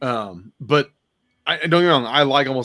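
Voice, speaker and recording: A man talks at a fairly quick pace. His pitch shows ordinary variation. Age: middle-aged. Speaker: podcast host. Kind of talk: casual chat. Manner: animated.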